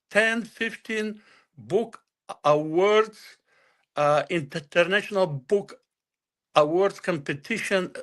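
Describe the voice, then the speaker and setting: A man with a Bulgarian accent, high-pitched, at a very slow pace with long, frequent pauses and ordinary pitch variation. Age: 60s. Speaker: author. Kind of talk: interview. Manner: halting.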